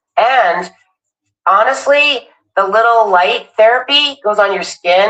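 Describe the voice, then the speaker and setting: Fairly high in pitch, a woman speaks with lively intonation. She has an ordinary speaking voice. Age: 60s. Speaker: live streamer. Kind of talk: product demonstration. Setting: live stream.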